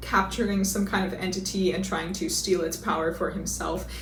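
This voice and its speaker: A woman of medium pitch with an American accent at a fairly quick pace, amid audible room echo and noticeable background noise. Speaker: book reviewer. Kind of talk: casual book review monologue. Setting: home video, seated in a chair. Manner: casual, sarcastic.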